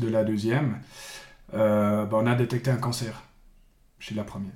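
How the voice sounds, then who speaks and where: A man with a Fribourg accent, medium pitch and a very slow pace, amid audible room echo and noticeable background noise. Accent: Swiss French (Fribourg). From Switzerland, Bulle (canton of Fribourg). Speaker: sports coach. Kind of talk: interview. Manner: halting, frequent repetitions.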